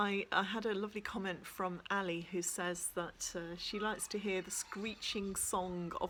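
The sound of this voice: This is an unforced reading voice. The intonation is fairly even.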